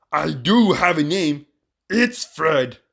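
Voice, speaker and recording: A man is speaking here. He uses a put-on character voice. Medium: read story.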